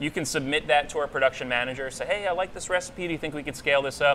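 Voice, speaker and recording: Very fast speech comes from a man with an American accent. His pitch is fairly high, with ordinary variation. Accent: Long Island accent, comes out now and then. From Long Island, New York. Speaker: brewery staff. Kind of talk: casual chat.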